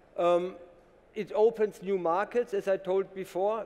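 Fairly slow and high-pitched, a man talks with a German accent. His intonation is fairly even. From Germany. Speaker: company co-founder and CTO. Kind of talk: conference company presentation. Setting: conference stage with audience. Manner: formal, businesslike. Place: stage. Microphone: headset.

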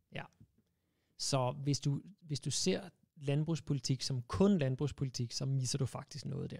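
Over a quiet background, a man with a somewhat breathy, fairly high voice and ordinary pitch variation speaks at a fairly slow pace, with long, frequent pauses. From Denmark. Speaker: animal rights campaigner; guest. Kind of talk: casual interview. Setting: studio. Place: studio. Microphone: studio mic.

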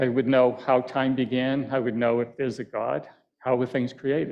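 A man speaks with an American accent. His intonation is monotone and flat. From Boston area, Massachusetts (Quincy); Massachusetts. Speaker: landscape painter. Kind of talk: lecture with painting demo. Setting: auditorium with live audience. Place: hall.

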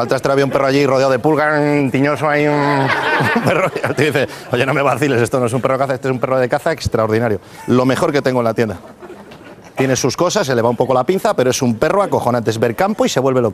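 A man talks at a very fast pace with ordinary pitch variation. Light background noise is present. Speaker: comedian. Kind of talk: stand-up comedy joke telling. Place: stage. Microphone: lapel.

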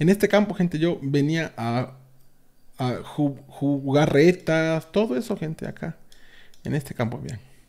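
Against a quiet background, a man speaks fairly slowly in a fairly high pitch with lively intonation. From Mexico, Veracruz (Mariano Escobedo, near Orizaba); Veracruz, Mexico. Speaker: gaming youtuber; streamer. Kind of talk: casual video tour. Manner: halting, repetitive. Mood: nostalgic, relaxed. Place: home room.

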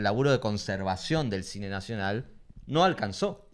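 This man talks at a moderate pace. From Corrientes, Argentina. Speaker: film collective member; guest. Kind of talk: casual interview. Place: home room. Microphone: handheld.

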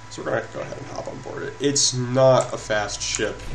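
There is noticeable background noise. Through it a man talks at moderate speed. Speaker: gaming YouTuber. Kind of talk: gameplay commentary. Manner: hesitant, filler-heavy.

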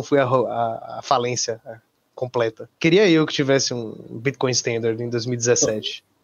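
A man with a Brazilian accent, fairly slow in pace and fairly even in intonation. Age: 20s. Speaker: bitcoin maximalist guest. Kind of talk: casual chat.

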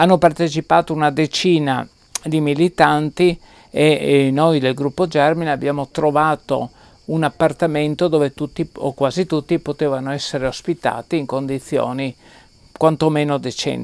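A man with a fairly high pitch talks at a moderate pace. His intonation is monotone and flat. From Trieste, northeastern Italy; northeastern Italy. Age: 70s. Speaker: anarchist activist and researcher; interviewee. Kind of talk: interview recollection. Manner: halting. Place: home room.

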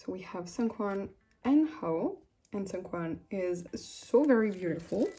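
Somewhat breathy and dark, mellow in tone, the voice moves at a fairly slow pace in a French accent, with lively intonation and big swings in loudness. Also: woman, medium pitch for a woman. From France. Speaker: YouTuber and K-pop photocard collector. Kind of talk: casual vlog chat. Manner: hesitant, many fillers and frequent laughter.

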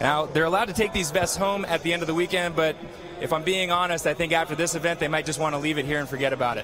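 With clear music in the background, a man with a high-pitched voice speaks at a very fast pace in an animated tone, the sound dry with no echo. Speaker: field reporter. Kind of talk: live sports commentary. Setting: on the field. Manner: animated, reporting from the field. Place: stadium. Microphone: handheld.

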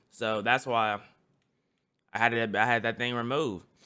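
Against a quiet background, a man talks at a moderate pace in a bright, sharp tone. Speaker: streamer. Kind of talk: casual reaction commentary. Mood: joking, laughing. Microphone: studio mic.

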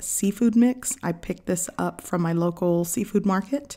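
Against a quiet background, a woman talks with ordinary pitch variation. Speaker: home cook channel host. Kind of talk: cooking tutorial narration. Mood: warm, friendly. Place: kitchen.

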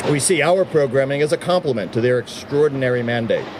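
A man speaks fairly quickly with ordinary pitch variation while noticeable background noise plays. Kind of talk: formal prepared speech. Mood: proud, upbeat. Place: street. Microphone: podium.

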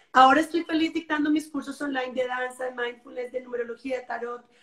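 A woman's high pitch with fairly even intonation against a quiet background. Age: 40s. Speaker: yoga and dance teacher, wellness guide. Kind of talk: interview on live stream. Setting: live video stream. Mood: happy, enthusiastic. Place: home room. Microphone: video call.

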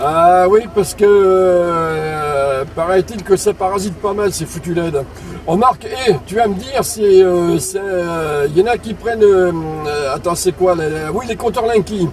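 With crowd noise in the background, a man talks at a very slow pace in a high pitch with ordinary pitch variation. The sound is dry with no echo. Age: 50s. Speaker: CB radio operator. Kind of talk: casual radio chat. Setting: CB radio transmission, in a car. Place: car.

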